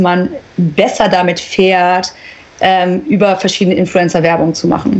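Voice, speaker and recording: A woman talks fairly slowly while noticeable background noise fills the recording. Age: 30s. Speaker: influencer and agency founder. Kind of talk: interview.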